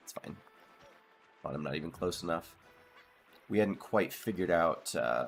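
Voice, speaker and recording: A quiet man with a very deep, low pitch and vocal fry talks at a moderate pace with ordinary pitch variation. His loudness swings widely, and he takes long, frequent pauses. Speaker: game streamer. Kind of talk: casual let's play commentary. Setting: live stream.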